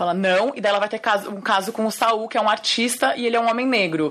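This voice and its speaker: A woman at a fairly high pitch and fairly quick pace, with noticeable background noise behind her. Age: 30s. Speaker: film director. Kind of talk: interview.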